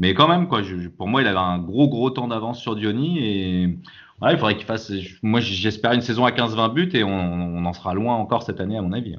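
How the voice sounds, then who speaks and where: An unremarkable speaking voice from a man, fairly low-pitched and fairly quick in pace. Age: 40s. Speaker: football supporter. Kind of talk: casual chat.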